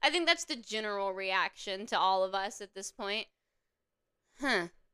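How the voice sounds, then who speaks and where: In a Southern accent, a woman at a medium pitch speaks at a moderate pace with lively intonation, big swings in loudness and a bright, sharp tone, in a dry, close sound with no echo on a very clean recording with a silent background. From US South, upstate South Carolina (Anderson area). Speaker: YouTuber reviewing a TV show. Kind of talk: casual commentary. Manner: animated.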